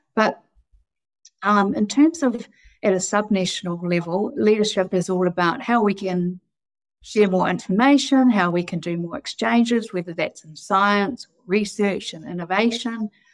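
With a New Zealand accent, a woman speaks at a moderate pace and medium pitch, her pitch varying in an ordinary way while her loudness swings widely, on a very clean recording with a silent background. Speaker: economic development executive. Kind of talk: interview.

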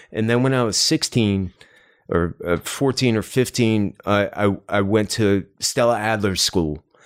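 In a very clean recording with a silent background, a man with an American accent speaks at a fairly slow pace with very even loudness. His voice is an unremarkable speaking voice, fairly low in pitch, with ordinary pitch variation. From New Jersey. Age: 50s. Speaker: painter and actor. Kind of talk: casual chat.

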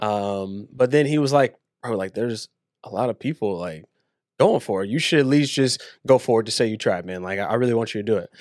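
A man talks fairly quickly at a medium pitch, with ordinary pitch variation. The recording is very clean and silent behind him, with a dry, close sound and no echo. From Texas, Waco. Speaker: community engagement manager, fitness coach. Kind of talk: casual interview chat. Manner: animated.

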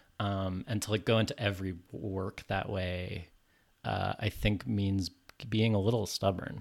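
At a fairly slow pace and with fairly even intonation, an ordinary speaking voice comes through in a very clean recording with a silent background. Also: man, fairly low pitch for a man. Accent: American. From California. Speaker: screenwriter and filmmaker. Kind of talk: casual interview.

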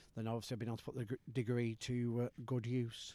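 A very fast, monotone man with a Derbyshire accent at medium pitch, flat in intonation, on a very clean recording with a silent background. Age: 50s. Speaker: sheep farmer and farming union representative. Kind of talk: interview. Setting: outdoors.

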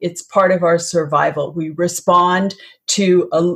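A woman with a normal speaking voice and fairly low pitch speaks at a fairly slow pace. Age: 60s. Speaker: health author and wellness advocate. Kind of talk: interview.

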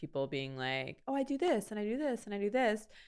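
A woman talks at a fairly quick pace with very wide pitch swings. The recording is very clean, with a silent background. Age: 30s. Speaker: makeup artist and designer. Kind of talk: casual chat.

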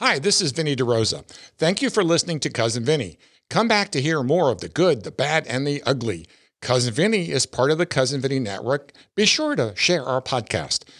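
Speaking at a fairly quick pace with an American accent, a man uses a fairly high pitch with very wide pitch swings and vocal fry. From Florida. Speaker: podcast host. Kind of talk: casual interview. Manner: blunt, informal.

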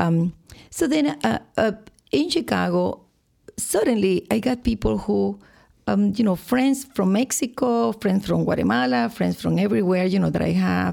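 A woman with a Spanish accent at a moderate pace, her loudness very even. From Venezuela, Margarita Island. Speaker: higher education administrator. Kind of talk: interview.

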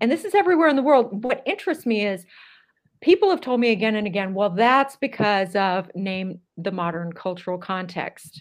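An unremarkable speaking voice from a woman at medium pitch, fairly quick and lively in intonation, over a quiet background. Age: 50s. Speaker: psychologist and dating coach. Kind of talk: interview.

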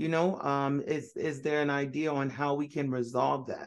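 Against a quiet background, a man talks with an American accent. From New York (Brooklyn). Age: 40s. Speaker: podcast host, screenwriter and producer. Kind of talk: interview conversation. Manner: animated, casual.

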